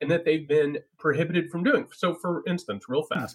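This man's voice is somewhat breathy. He speaks with an American accent. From US Midwest, small-town Indiana. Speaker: writer and political analyst. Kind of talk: political discussion.

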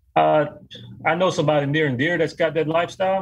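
Somewhat breathy and fairly high-pitched, a man talks at a very fast pace. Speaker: business owner. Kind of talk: interview. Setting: video call.

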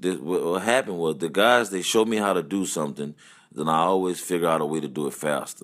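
On a very clean recording with a silent background, a man with a Louisiana accent and a very deep, low pitch talks at a fairly quick pace with ordinary pitch variation. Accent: Louisiana Southern US. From Louisiana, US South. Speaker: musician and band leader. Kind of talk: casual interview chat. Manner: animated.

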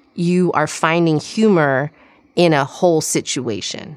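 Over a silent background in a very clean recording, a woman speaks with a Midwestern accent in a fairly low pitch. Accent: American, Midwestern. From US Midwest, Chicago suburbs. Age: 40s. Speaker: podcast co-host and journalist. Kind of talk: casual interview chat.

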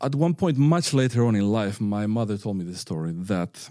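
Captured on a very clean recording with a silent background, a man with a Spanish accent speaks at a moderate pace in a dark, mellow tone, his fairly low pitch moving in very wide swings. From northern Spain. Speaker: violinist and music teacher. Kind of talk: interview. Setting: studio. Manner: firm.

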